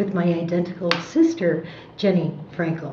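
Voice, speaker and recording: An American-accented woman speaks at a fairly slow pace with a fairly low pitch. Audible room echo and noticeable background noise are present. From US Midwest, Chicago. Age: 60s. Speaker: war veteran, entertainer. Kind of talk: oral history interview.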